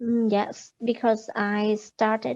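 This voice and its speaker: A woman talks at a very slow pace. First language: not English. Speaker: English student. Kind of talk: exam speaking practice. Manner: halting.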